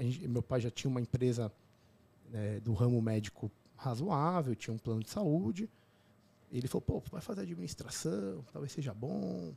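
A man speaks in a medium pitch with lively intonation and a somewhat breathy voice. He leaves long, frequent pauses, and the sound is dry and close with no echo. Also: moderate pace. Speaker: obstetrician and podcaster. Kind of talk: casual interview chat.

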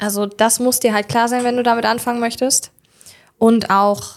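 The intonation is monotone and flat. It belongs to a woman. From Germany, Hildesheim (Lower Saxony). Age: 20s. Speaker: make-up artist. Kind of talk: interview.

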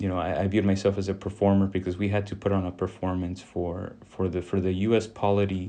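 A man with an American accent speaks in a fairly low pitch with a dark, mellow tone. His delivery is monotone and flat, very fast, with hardly any pauses. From US South, Texas Rio Grande Valley. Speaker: former police officer, criminology professor. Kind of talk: interview. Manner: halting, many repetitions.

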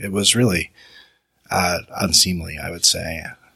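A man's very deep, low voice with a Utah accent. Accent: Utah American. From Utah, Salt Lake East Bench. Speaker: lawyer. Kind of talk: panel discussion. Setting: studio with live audience.

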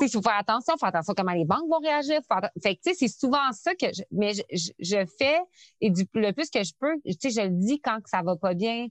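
The voice moves through very wide pitch swings. The sound is dry and close with no echo, over a quiet background. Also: woman, fairly high pitch for a woman, moderate pace. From Quebec City. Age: 30s. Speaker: entrepreneur. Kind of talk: interview. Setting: remote call.

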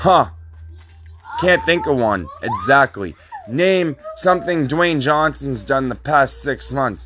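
Noticeable background noise is present. Over it, a man speaks very slowly. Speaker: podcast host giving opinion on TV. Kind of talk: angry rant, profanity-laden tirade. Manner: heated, indignant, insulting, directly addressing target; emphatic, repetitive, stumbling over words.

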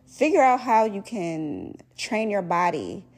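A woman with a normal speaking voice, medium in pitch, with lively intonation. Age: 30s. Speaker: faith podcast host. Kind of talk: prayer; casual devotional talk.

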